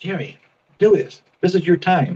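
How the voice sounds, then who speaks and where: This man has a high voice and speaks with an American accent. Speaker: comedian and podcast host. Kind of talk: casual chat. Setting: video call.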